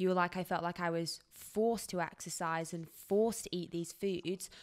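Against a quiet background, a woman speaks at a fairly low pitch. Her intonation is monotone and flat. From UK. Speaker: podcast host. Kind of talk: casual interview. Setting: video call. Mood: warm, appreciative. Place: home room. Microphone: studio mic.

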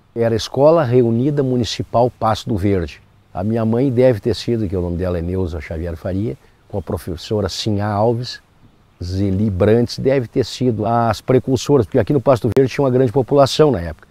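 At a fairly quick pace, a man speaks at medium pitch with a dark, mellow tone and lively intonation. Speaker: local resident. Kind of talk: documentary interview.

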